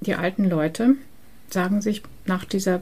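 Here a woman's voice sits at a medium pitch with ordinary variation. It has a dark, mellow tone and is somewhat breathy. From Transylvania, Romania. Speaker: librarian and exhibition curator. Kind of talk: interview. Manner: hesitant, many fillers.

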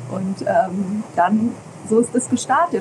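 Through noticeable background noise, a woman talks at a fairly slow pace with a fairly high pitch. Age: 40s. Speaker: parenting podcaster and parent coach. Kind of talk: interview.

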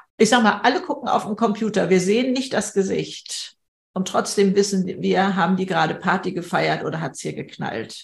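Her voice is medium in pitch, and this woman speaks with vocal fry. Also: ordinary pitch variation, moderate pace. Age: 70s. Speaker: speaker and podcaster. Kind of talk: online panel conversation.

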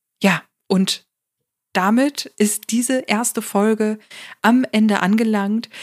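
On a very clean recording with a silent background, a woman speaks with fairly even intonation. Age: 30s. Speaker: podcast host, psychotherapy practitioner and coach. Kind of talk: solo podcast monologue. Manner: casual with many fillers.

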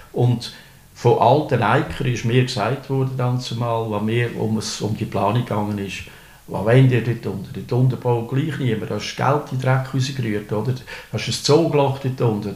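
A man with an Aargau accent talks at a moderate pace in a medium pitch, his intonation fairly even. Audible room echo and noticeable background noise surround his voice. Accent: Swiss German, Fricktal dialect. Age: 60s. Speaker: retired municipal clerk. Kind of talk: interview. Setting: indoors overlooking a pond. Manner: halting, many fillers.

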